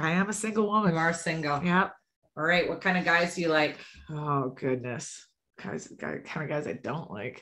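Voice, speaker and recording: The tone is bright and sharp, with lively intonation at a moderate pace. The background is quiet. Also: woman, fairly low pitch for a woman. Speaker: podcast host. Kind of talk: casual chat. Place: home room. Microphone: studio mic.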